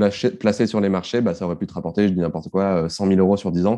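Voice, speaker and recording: This man has a very deep, low pitch and a dark, mellow tone. He talks at a fairly quick pace with fairly even intonation against a quiet background. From southeastern France (Var, born in Marseille). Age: 30s. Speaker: personal finance newsletter founder and author. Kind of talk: casual interview. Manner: hesitant, many fillers and repetitions.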